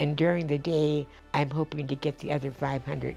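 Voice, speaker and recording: Over background music, a woman talks at a fairly quick clip. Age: 80s+. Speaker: centenarian interviewee. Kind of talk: interview answer.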